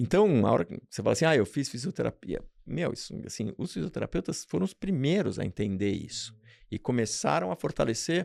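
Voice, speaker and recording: The speaker talks at a fairly quick pace with vocal fry and very wide pitch swings, in a dry, close sound with no echo and a very clean recording with a silent background. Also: man, medium pitch for a man. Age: 60s. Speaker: radiologist. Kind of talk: interview.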